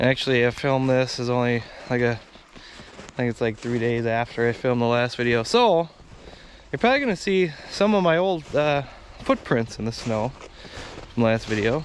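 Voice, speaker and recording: Speech comes at a moderate pace, with ordinary pitch variation and long, frequent pauses. The sound is dry with no echo over light background noise. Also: man. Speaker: angler vlogger. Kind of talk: casual vlog chat. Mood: relaxed, mildly upbeat. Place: open country.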